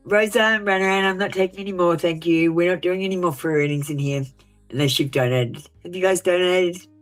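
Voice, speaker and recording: Music plays in the background. The speaker goes at a very fast pace with ordinary pitch variation. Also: woman, fairly low pitch for a woman. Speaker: tarot reader. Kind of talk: live stream reading. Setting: live stream. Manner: sounds passionate, intense tone.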